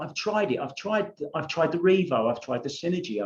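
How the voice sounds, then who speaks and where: A man speaks with a British accent at a fairly quick pace. His high voice makes very wide pitch swings. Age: 60s. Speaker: pool vlogger. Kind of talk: casual vlog commentary. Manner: informal, rambling asides.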